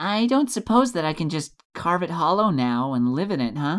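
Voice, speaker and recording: A put-on character voice comes at a middle pitch and a moderate pace. The recording is very clean, with a silent background. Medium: read story. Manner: polite, lightly wry.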